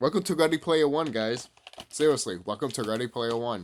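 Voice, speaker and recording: Delivered at a fairly quick pace, the put-on character voice mumbles its words. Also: man, medium pitch for a man. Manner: mumbling.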